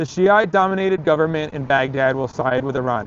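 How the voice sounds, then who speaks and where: Pitch variation here is ordinary. The recording features an ordinary speaking voice. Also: man. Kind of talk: dramatic reading of a political essay.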